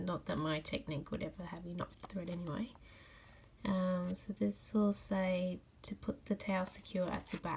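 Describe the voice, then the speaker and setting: A woman with an Australian accent speaks at a moderate pace and medium pitch. Her intonation is fairly even and her voice somewhat breathy. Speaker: cross stitch crafter. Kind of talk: casual craft tutorial talk.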